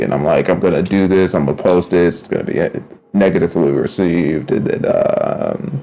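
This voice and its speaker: A man mumbles at a moderate pace. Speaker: artist streamer. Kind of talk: casual live-stream talk while drawing. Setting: live stream. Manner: mumbling; slurring words together.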